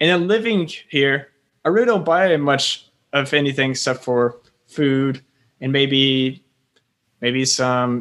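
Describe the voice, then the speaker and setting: An unremarkable speaking voice comes with an American accent. The pace is fairly slow, with ordinary pitch variation. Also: man. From US South, Florida. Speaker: English teacher and personal finance blogger. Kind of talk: casual interview. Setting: call across time zones.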